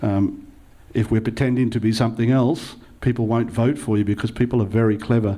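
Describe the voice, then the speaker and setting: A man speaks at a fairly quick pace with an Australian accent and a fairly low pitch. His tone is dark and mellow, and his intonation stays fairly even. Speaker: local councillor, panellist. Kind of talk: panel talk. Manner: hesitant, many fillers.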